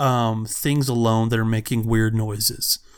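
A man with a normal speaking voice, medium pitch and an American accent, at a moderate pace. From United States. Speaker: podcast co-host. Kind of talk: casual chat.

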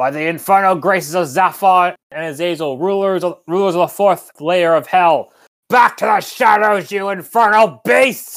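This put-on character voice sits at a middle pitch and moves at a moderate pace in a very clean recording with a silent background. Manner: gruff, commanding.

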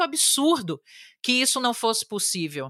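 A woman speaks in a bright, sharp tone with very wide pitch swings. The sound is dry and close, with no echo. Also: very clean recording, silent background. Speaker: advertising executive and app creator. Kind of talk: podcast interview.

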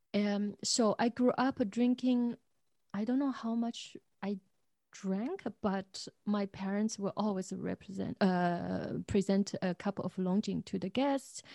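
Speaking very slowly with a Chinese accent, a woman uses a medium, somewhat breathy voice with a dark, mellow tone and fairly even intonation, recorded dry and close with no echo. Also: quiet background. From China, Zhejiang province. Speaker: tea shop owner. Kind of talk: interview.

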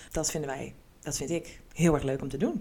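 This woman's pitch is very deep and low as she talks at a moderate pace. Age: 30s. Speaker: podcast co-host, HR colleague. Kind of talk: casual chat. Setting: studio-style recording with podcast microphone.

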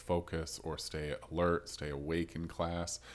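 A man with an American accent speaks at a very deep, low pitch. The recording is very clean, with a silent background. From Rochester, US. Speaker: podcast host. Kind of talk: casual interview.

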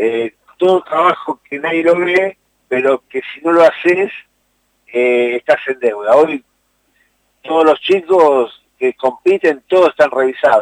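A man speaks fairly slowly with long, frequent pauses and a fairly high pitch. His pitch varies in an ordinary way, and the sound is dry and close with no echo. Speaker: youth football coordinator. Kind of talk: interview. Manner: hesitant.

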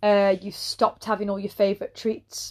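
Against a quiet background, a woman with an English accent speaks at a moderate pace in a medium pitch, her intonation monotone and flat. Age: 30s. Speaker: personal trainer. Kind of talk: solo podcast monologue. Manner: casual, conversational.

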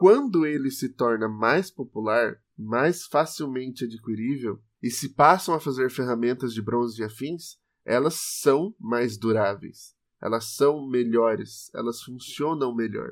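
With a plain, everyday voice of medium pitch, a man talks at a fairly slow pace with ordinary pitch variation over a very clean recording with a silent background. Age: 20s. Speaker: podcast co-host. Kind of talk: educational casual chat.

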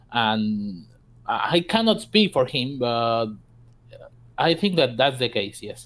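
In a Spanish accent, a man speaks at a very slow pace with long, frequent pauses, his medium pitch swinging very widely. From South America. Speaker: gaming clan member. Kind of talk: casual interview. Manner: halting.

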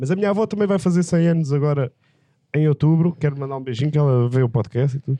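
A man speaks at a very fast pace. His fairly high voice has a dark, mellow tone and ordinary pitch variation. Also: dry, close sound with no echo. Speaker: pediatrician. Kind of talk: casual comedic chat.

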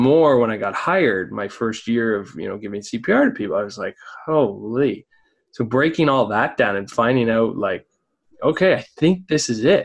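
A man's unremarkable speaking voice at a medium pitch and moderate pace. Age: 30s. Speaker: podcast host. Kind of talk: interview. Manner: casual.

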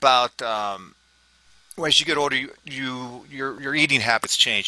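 A man speaks in a plain, everyday voice of medium pitch at a moderate pace with ordinary pitch variation. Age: 50s. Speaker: fitness coach. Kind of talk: podcast discussion.

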